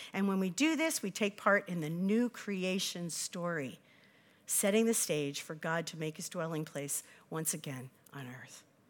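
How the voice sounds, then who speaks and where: A woman speaks at a moderate pace in a fairly low pitch, with ordinary pitch variation and an unremarkable speaking voice. The recording is very clean, with a silent background. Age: 60s. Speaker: associate pastor. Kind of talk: sermon. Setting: church.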